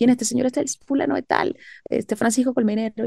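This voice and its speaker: The recording of this woman has a quiet background and a dry sound with no echo. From Venezuela (Caracas). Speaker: singer-songwriter and voice actress; voice actress. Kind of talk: interview. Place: home room. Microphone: video call.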